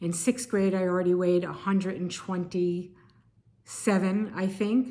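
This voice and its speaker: A woman's ordinary speaking voice with an American accent, medium in pitch, at a moderate pace with fairly even intonation. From Connecticut, US. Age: 60s. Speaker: video blogger. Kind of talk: personal testimony.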